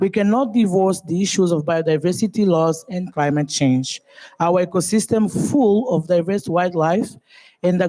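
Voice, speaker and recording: At a moderate pace, a woman speaks in a fairly low pitch with a dark, mellow tone and ordinary pitch variation. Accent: Portuguese. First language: Portuguese. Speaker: government official. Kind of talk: conference speech. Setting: conference panel. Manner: formal.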